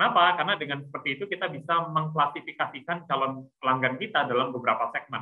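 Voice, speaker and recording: Hardly pausing, a man talks at a very fast pace. His voice is fairly high, with ordinary pitch variation. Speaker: entrepreneur. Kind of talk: webinar talk. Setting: video call.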